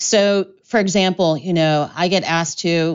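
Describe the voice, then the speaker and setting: A woman with an American accent speaks in a plain, everyday voice at a fairly low pitch. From US Midwest, Columbus, Ohio. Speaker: mixologist and spirits educator. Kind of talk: casual chat.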